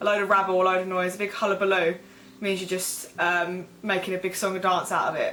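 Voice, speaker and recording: Noticeable background noise sits behind a voice with an Essex accent. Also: woman. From Essex, England. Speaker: vlogger. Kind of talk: casual talk to camera.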